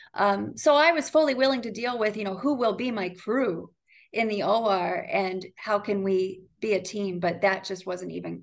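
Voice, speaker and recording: A woman with a plain, everyday voice speaks at medium pitch and a moderate pace against a quiet background. Her pitch variation is ordinary, but her loudness swings widely. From Ohio, US Midwest. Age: 30s. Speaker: physician. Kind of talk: casual interview.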